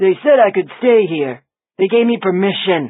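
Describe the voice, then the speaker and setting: A man puts on a drawling character voice, high in pitch. He moves at a moderate pace. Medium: read story. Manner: gruff, curt.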